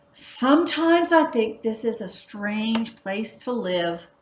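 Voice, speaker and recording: A woman puts on a character voice at a fairly high pitch. She delivers it at a fairly slow pace. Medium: read story.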